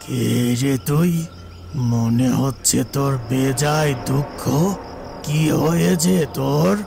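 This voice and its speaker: A man does a cartoonish character voice at a medium pitch and a very slow pace, with very even loudness. Background noise is clearly heard. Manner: gruff, uses rough familiar address.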